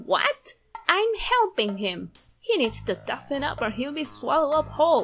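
A female-sounding, put-on character voice moves at a moderate pace. Faint music sits in the background. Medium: dub. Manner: harsh, scornful.

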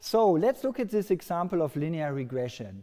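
A man's dark, mellow voice against a quiet background. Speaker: lecturer. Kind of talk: lecture. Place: hall.

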